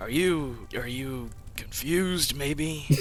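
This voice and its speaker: A man's put-on character voice, fairly high in pitch, at a very slow pace over clear background noise. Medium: actual play.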